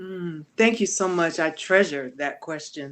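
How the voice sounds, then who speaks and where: In an American accent, a woman with an unremarkable speaking voice talks at a fairly low pitch with lively intonation over a quiet background. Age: 60s. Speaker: author and performance artist. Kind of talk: interview conversation.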